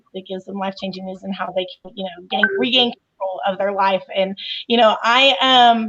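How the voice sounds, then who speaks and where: Speaking with a Southern US accent, a woman keeps a medium pitch and fairly even intonation. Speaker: coach and professional organizer. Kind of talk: casual chat.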